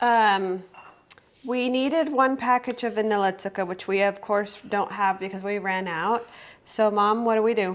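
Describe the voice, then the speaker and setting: A woman talks at a moderate pace in a plain, everyday voice, with medium pitch and ordinary pitch variation. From Germany, moved to US at about 14. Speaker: home cooking video host. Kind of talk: cooking tutorial. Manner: casual, filler-heavy.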